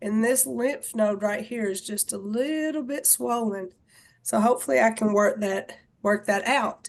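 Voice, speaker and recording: A woman talks loudly at a fairly slow pace, her fairly high pitch moving with ordinary variation. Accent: Southern US. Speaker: fitness and wellness instructor. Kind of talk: casual group video chat.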